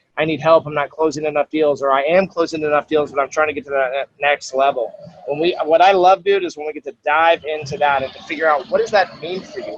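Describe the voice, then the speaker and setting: A man's fairly high voice at a very fast pace, hardly any pauses, big swings in loudness. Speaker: sales trainer and speaker. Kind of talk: interview answer. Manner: passionate; casual, energetic.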